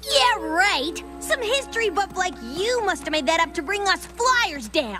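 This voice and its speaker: A cartoonish character voice is heard over clear music in the background. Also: female-sounding voice, extremely high pitch for a woman, moderate pace. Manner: brash, boastful.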